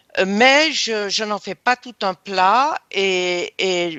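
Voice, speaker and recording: The speaker's pace is very slow. The intonation is lively. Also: woman. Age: 70s. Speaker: hypnosis session client. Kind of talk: personal testimony in interview. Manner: halting, many hesitations.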